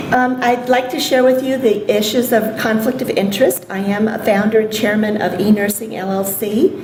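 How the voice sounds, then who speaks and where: A woman with a fairly high voice talks at a moderate pace, with ordinary pitch variation and hardly any pauses, against audible room echo and noticeable background noise. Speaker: nursing professor and palliative care researcher. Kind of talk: conference lecture. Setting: symposium stage with audience. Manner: hesitant with many ums. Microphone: may be too far from microphone.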